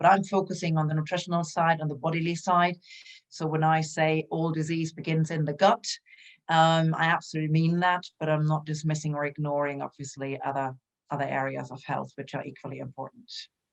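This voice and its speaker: Here a woman talks at a fairly quick pace with a German accent. Her pitch is very deep and low. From Germany. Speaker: health coach. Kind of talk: interview. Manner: animated.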